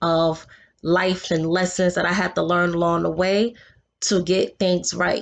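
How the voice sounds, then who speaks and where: Against a quiet background, a woman with a New York accent speaks at a very slow pace. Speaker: vlogger. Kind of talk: casual vlog monologue. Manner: animated.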